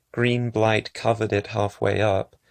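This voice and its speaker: A man at a fairly slow pace, with a quiet background and a dry, close sound with no echo. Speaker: ASMR creator. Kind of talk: philosophical text reading, ASMR-style.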